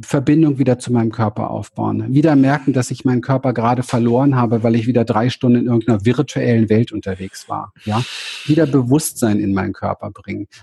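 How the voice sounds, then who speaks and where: Fairly even intonation at a fairly quick pace, with a dry, close sound and no echo. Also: man, medium pitch for a man. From Berlin, Germany. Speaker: spiritual coach and therapist. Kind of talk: interview. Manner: halting.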